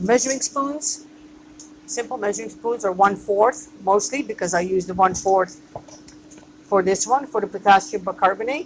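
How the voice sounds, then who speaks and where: A woman talks at a moderate pace with lively intonation and a medium pitch. Noticeable background noise is present. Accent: non-native. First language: not English. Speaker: microgreens grower and business owner. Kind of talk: tutorial. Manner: hesitant, with fillers.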